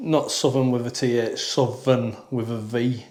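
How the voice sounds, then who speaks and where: A man with a Lancashire accent and monotone, flat intonation, with audible room echo. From northern England, Burnley, Lancashire. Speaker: podcast co-host. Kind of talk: casual chat.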